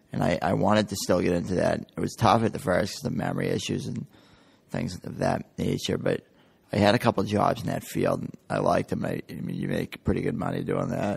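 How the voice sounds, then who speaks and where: With an American accent, a man speaks at a fairly quick pace and a fairly low pitch. His lively intonation carries vocal fry. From New Hampshire, US. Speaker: brain injury survivor. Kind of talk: interview testimony. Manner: casual, many fillers.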